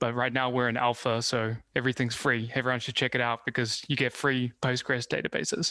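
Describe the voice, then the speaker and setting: A man talks at a fairly quick pace with hardly any pauses, at a medium pitch and with monotone, flat intonation. His tone is bright and sharp, and the sound is dry and close with no echo. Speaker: startup CEO and open source maintainer. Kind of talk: interview.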